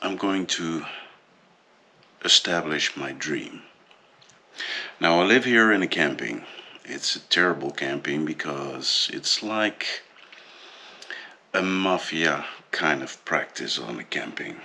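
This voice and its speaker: With a Dutch accent and a very deep, low pitch, a man speaks at a very slow pace with long, frequent pauses and lively intonation over noticeable background noise. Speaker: vlogger. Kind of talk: personal vlog monologue. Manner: hesitant, many fillers.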